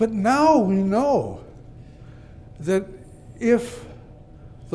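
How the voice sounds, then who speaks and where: The pitch swings very widely. Room echo can be heard. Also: man. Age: 80s+. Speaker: psychologist. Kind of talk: conference speech.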